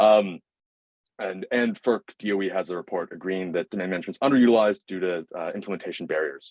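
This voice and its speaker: This man talks at a very fast pace with ordinary pitch variation, and the sound is dry and close with no echo. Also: fairly low pitch for a man. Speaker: student startup founder pitching. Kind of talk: pitch presentation. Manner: halting, many fillers.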